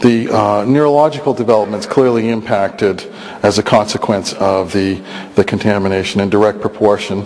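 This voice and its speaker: A man with a plain, everyday voice speaks at a fairly quick pace, his fairly low pitch showing ordinary variation over light background noise. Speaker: biologist researcher. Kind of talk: lecture. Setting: stage with audience. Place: hall. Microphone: podium.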